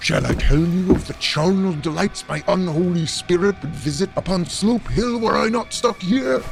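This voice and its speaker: With clear music in the background, a man does a put-on character voice at a high pitch and a moderate pace. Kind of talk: archaic theatrical speech. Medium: audio drama. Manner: florid, grandiose, mockingly polite.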